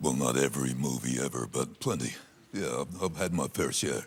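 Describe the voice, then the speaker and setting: A man's very deep, low voice with vocal fry, ordinary pitch variation and a fairly quick pace. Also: very even loudness. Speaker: movie trailer voiceover artist. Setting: TV panel show studio.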